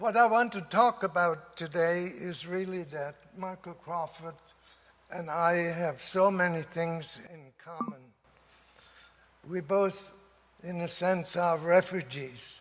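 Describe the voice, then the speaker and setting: A man's high voice in a German accent, very slow, with long, frequent pauses and big swings in loudness. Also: ordinary pitch variation. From Germany. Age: 80s+. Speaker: professor. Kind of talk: speech. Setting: conference audience.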